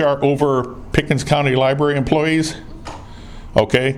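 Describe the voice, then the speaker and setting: A man with a fairly high voice speaks with an American accent. His intonation is monotone and flat, and background noise is noticeable. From northern US. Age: 60s. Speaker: citizen activist filming officials. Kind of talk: confrontational conversation. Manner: brash.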